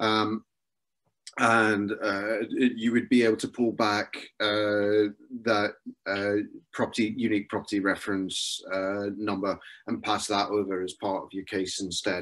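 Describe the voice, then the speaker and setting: A man with a slight Scottish accent, fairly low pitch, monotone, flat intonation and fairly slow pace, over a quiet background. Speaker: software consultant giving a webinar talk. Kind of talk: webinar Q&A. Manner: hesitant, many filler words.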